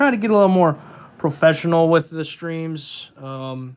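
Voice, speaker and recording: A man speaks at a moderate pace. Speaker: tattoo artist. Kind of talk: casual live stream chat. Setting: live stream while tattooing. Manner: sometimes talks quiet. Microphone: microphone far away, fades in and out.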